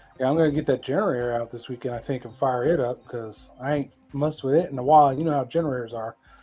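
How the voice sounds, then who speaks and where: With music in the background, a man talks at a very fast pace with hardly any pauses, at medium pitch and with fairly even intonation. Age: 60s. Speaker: livestream co-host, outdoorsman. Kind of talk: casual chat.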